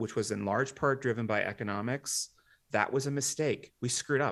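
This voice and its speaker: Against a quiet background, a man with an American accent uses an unremarkable speaking voice and fairly even intonation. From Washington, D.C. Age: 40s. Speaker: demographic futurist and author. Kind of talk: interview.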